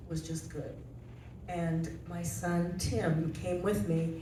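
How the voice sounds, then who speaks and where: In an American accent, a woman speaks at a very slow pace with a fairly low pitch and fairly even intonation, amid noticeable background noise and audible room echo. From rural Nebraska. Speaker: senior living resident. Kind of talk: panel testimony.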